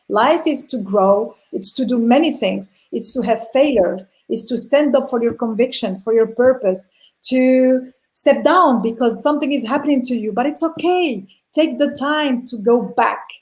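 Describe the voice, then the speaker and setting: A woman speaks in a high voice with ordinary pitch variation. Her pace is moderate. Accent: non-native. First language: not English. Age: 40s. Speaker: entrepreneur. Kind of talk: interview.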